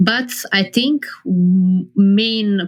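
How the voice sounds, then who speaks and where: This woman has a Serbian accent and a medium-pitched voice. Her pitch moves in an ordinary way. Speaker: professional poker player. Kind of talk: interview.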